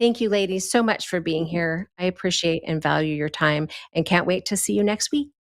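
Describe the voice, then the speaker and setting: With an ordinary speaking voice, a woman talks at a moderate pace and a fairly low pitch with lively intonation, in a very clean recording with a silent background and a dry, close sound with no echo. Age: 60s. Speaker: podcast host and literary consultant. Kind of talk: casual chat; promotional outro.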